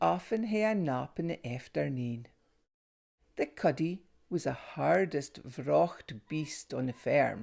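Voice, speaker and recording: In a Northeast Scottish accent, a woman talks at a very slow pace on a very clean recording with a silent background. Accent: North-East Scots (Doric). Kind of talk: children's story reading.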